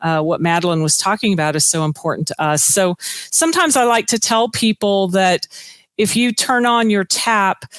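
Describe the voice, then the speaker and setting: In a normal speaking voice, a woman with an American accent talks at a moderate pace and medium pitch, with ordinary pitch variation and a dry, close sound with no echo. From US. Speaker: corporate sustainability director. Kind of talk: conference presentation.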